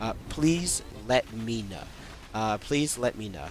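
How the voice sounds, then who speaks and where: Speaking very slowly, a man uses a medium pitch with ordinary variation. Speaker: gaming streamer. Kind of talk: tutorial. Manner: halting, many fillers.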